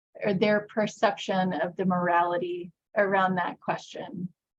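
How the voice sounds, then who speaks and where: A woman speaks with an American accent at a fairly slow pace. Her voice is somewhat breathy. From US, conservative evangelical state. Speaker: workshop presenter. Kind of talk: workshop presentation.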